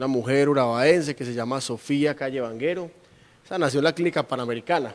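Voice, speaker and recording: A man with an unremarkable speaking voice, a fairly high pitch and a fairly quick pace. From Colombia, Urabá (Carepa, Antioquia). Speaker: regional politician. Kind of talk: interview. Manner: articulate, formal.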